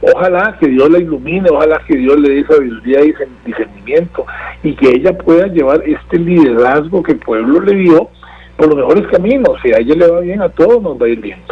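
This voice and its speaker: Lively intonation marks a man's high-pitched voice at a fairly quick pace. Background noise is noticeable. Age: 60s. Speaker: political analyst. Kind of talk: interview. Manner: halting, many repetitions and fillers.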